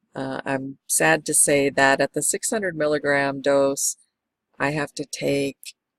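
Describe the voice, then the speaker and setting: Recorded dry and close with no echo, a woman speaks at a fairly slow pace. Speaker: medical marijuana patient vlogger. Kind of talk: product review vlog. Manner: casual with fillers.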